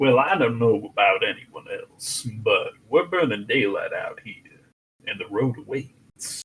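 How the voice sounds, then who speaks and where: Using a put-on character voice, a man talks fairly slowly at a fairly high pitch, his loudness swinging widely. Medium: actual play. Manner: folksy, drawling.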